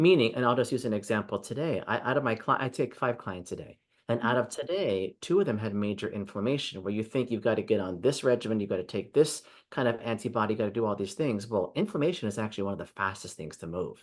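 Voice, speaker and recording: Very fast and with hardly any pauses, a man talks at a medium pitch with ordinary pitch variation over a quiet background. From Hawaii. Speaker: energy healer. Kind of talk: interview answer. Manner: plain, direct.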